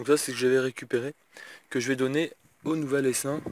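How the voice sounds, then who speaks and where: A man's medium-pitched voice, recorded very cleanly against a silent background, dry and close with no echo. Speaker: vlogger and hobby beekeeper. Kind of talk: casual vlog. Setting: in a car. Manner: fast.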